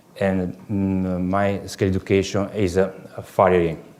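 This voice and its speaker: A man speaks with an Italian accent. His voice is fairly low, with monotone, flat intonation. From southern Italy, Puglia. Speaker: farrier. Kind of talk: lecture. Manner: halting, many fillers.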